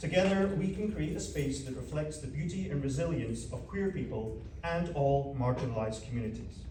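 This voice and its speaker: A man with a Scottish accent talks at a fairly quick pace, with noticeable background noise and audible room echo. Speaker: community project organizer. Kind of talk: prepared speech at community forum. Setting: panel event with live audience. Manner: reading from script.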